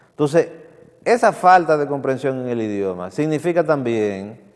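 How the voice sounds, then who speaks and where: Very wide pitch swings mark this man's speech in a Dominican Cibao accent. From Dominican Republic, Santiago. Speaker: TV culture show host. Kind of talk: TV commentary. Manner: halting with repetitions.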